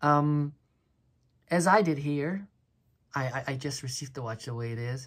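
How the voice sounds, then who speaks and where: The recording is very clean, with a silent background. A woman speaks at a moderate pace, somewhat breathy, with ordinary pitch variation. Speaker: watch reviewer. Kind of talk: casual product review. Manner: halting, stuttering; animated.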